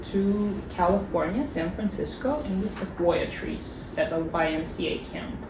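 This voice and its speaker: Delivered at a fairly slow pace with lively intonation and a slight Southern US accent, the speech comes with noticeable background noise and audible room echo. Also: woman. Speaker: former exchange student. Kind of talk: casual interview. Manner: hesitant, with fillers and repeats.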